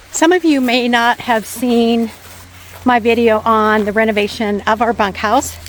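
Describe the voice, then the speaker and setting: Speaking at a fairly slow pace, a woman with a fairly high pitch is heard over noticeable background noise. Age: 60s. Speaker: vlogger. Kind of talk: casual chat. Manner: conversational.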